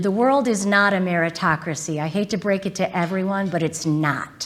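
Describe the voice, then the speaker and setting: A woman speaks with an American accent at a medium pitch. Her tone is animated and her pace moderate. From US Midwest, Southwest Detroit. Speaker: corporate lawyer and executive. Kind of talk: keynote talk. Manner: loud.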